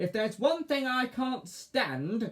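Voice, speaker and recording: A shrill, fairly high put-on character voice at a fairly slow pace. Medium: read story. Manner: snappish, shrieking.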